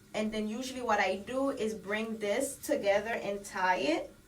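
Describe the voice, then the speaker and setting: Someone with a Haitian accent speaks at a fairly slow pace with ordinary pitch variation. Noticeable background noise runs under the voice. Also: woman. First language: Haitian Creole. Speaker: beauty vlogger. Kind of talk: tutorial. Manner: casual, code-switching.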